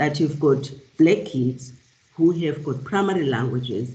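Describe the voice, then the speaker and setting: In a South African accent, a woman speaks fairly slowly in a very deep, low voice that is dark, mellow and somewhat breathy. Her intonation is lively, and the room echo is audible. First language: isiXhosa. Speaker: professor. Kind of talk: lecture. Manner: halting, many fillers and repeats.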